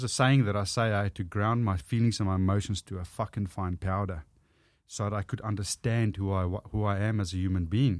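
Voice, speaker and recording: A man's fairly low voice at a fairly quick pace, fairly even in intonation, on a very clean recording with a silent background. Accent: strong South African. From South Africa. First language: Afrikaans. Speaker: author and public speaker. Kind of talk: casual interview chat.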